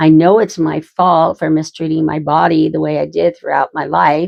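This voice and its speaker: In an Idaho accent, a woman speaks at a moderate pace with a fairly low pitch. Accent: American, Idaho. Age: 60s. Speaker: vlogger. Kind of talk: casual chat. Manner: animated.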